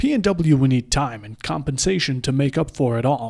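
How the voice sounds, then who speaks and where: A man's voice at medium pitch and moderate pace, a plain, everyday voice, on a very clean recording with a silent background. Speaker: esports caster and video creator. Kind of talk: scripted narration.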